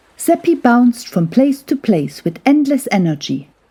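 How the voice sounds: This woman's pitch is fairly high and swings widely, with a dark, mellow tone. She talks slowly, with a slightly husky edge.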